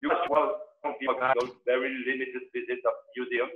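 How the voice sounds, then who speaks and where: A man with a French accent, speaking at a fairly quick pace against a quiet background. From France. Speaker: cultural diplomat panelist. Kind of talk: panel discussion. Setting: video call. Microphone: video call.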